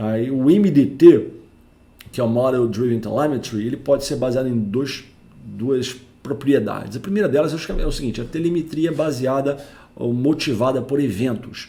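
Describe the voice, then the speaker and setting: There is audible room echo as a man talks at a moderate pace, his dark, mellow, somewhat breathy voice at a medium pitch with ordinary variation. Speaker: network engineer and tech educator. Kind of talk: technical lecture. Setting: home recording. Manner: informal.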